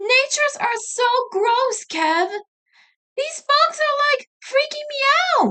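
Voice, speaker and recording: A woman uses a squeaky put-on character voice at an extremely high pitch. She goes at a fairly slow pace with long, frequent pauses. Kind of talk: exaggerated, whiny. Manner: dramatic wailing.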